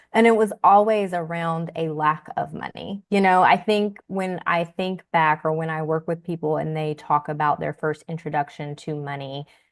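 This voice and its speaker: The speaker has a Southern US accent and talks at a moderate pace with fairly even intonation and hardly any pauses. The background is quiet. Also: woman, fairly low pitch for a woman. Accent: Southern, country. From US South, rural Tennessee. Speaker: personal finance educator. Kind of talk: podcast interview.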